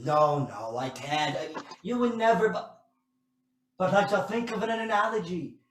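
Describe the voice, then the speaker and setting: A man's put-on character voice, high in pitch, at a moderate pace with slight echo. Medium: stage play. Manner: theatrical, complaining.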